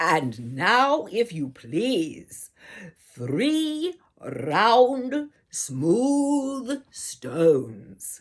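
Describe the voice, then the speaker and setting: Speaking very slowly, a woman uses a put-on character voice with a fairly high pitch. Her pitch swings very widely. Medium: read story. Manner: confident, persuasive.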